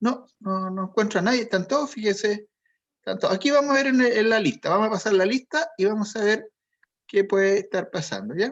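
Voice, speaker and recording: Speaking at a fairly quick pace against a quiet background, a man with a Chilean accent has a high voice and ordinary pitch variation. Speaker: college teacher. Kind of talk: online class, roll call.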